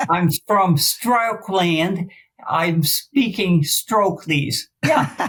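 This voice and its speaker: Very slowly, a woman speaks in a somewhat breathy voice at a medium pitch with lively intonation. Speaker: former volleyball coach, stroke survivor. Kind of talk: interview. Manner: halting, effortful speech after stroke.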